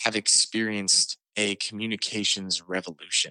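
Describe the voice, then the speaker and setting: A man speaks with a bright, sharp tone. The sound is dry and close with no echo over a quiet background. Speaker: podcast co-host. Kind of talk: casual chat. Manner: animated.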